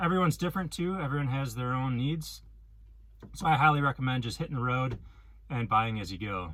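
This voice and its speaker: Lively intonation and a bright, sharp tone from a man with a Wisconsin accent, broken by long, frequent pauses. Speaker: van life vlogger. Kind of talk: casual vlog talk. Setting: inside a van. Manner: hesitant, many ums.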